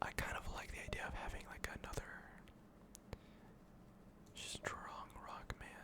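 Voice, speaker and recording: Whispering in a calm tone, the speaker goes at a fairly slow pace with long, frequent pauses over noticeable background noise. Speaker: gaming ASMR creator. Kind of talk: ASMR gameplay commentary. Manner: whispered, calm.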